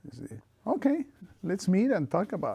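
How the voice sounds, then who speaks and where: A man's dark, mellow voice at a moderate pace, in an Argentine accent, with very wide pitch swings. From Argentina, small town. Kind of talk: oral history interview. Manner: halting, repeats words.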